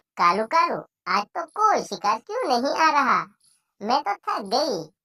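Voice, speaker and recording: This is a cartoonish character voice that sounds female. It sits high and swings very widely in pitch. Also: moderate pace. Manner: cackling laughter.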